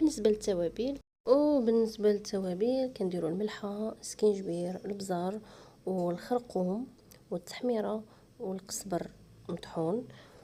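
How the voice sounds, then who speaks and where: A woman with a Moroccan accent speaks at a fairly slow pace in a dark, mellow tone, her medium pitch showing ordinary variation. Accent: Moroccan Darija. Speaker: cooking channel host. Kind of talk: cooking tutorial.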